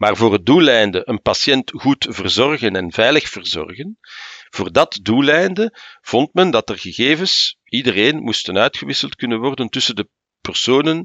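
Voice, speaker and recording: A man speaks with a Flemish accent. His intonation is lively. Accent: Flemish Dutch. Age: 60s. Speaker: senior civil servant. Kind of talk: interview.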